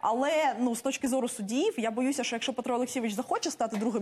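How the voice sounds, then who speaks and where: Very fast and high-pitched, this woman's speech shows ordinary pitch variation. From Ukraine. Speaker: member of parliament; politician guest. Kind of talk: heated debate. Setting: studio. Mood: critical, argumentative. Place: studio. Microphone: lapel.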